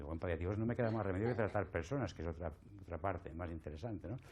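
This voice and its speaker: The man's tone is dark and mellow. His intonation is lively. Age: 60s. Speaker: palliative care doctor and lecturer. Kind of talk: conference talk.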